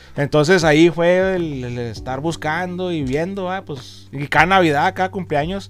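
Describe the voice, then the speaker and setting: In a normal speaking voice, a man with a fairly high pitch talks at a moderate pace with lively intonation, hardly any pauses and big swings in loudness. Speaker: comic and collectibles shop owner. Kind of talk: casual interview.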